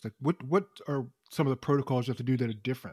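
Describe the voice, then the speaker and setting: A man speaks at a very fast pace with a medium pitch. The sound is dry and close, with no echo. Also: very clean recording, silent background. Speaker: radio host. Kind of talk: interview intro and casual chat.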